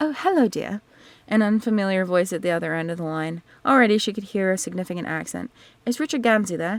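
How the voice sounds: The clip features a natural reading voice. That voice carries every line.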